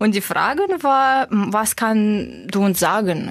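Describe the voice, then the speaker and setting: In a Russian accent, a woman speaks at a very slow pace on a very clean recording with a silent background. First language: Russian (speaking German). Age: 30s. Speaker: corporate manager. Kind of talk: interview. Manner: hesitant, frequent filler sounds.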